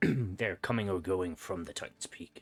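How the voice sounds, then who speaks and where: This is a raspy, put-on character voice. It moves at a moderate pace. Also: man, very deep, low pitch for a man. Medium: actual play.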